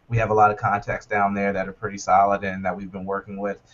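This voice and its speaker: A man with an American accent, somewhat breathy. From US South, North Carolina. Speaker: startup co-founder. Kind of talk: interview. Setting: video call. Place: office. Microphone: video call.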